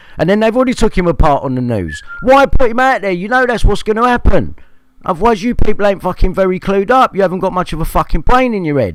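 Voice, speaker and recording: A man talks at a very fast pace in a high voice, his intonation lively. Noticeable background noise runs behind him. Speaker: livestreamer. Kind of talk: angry rant.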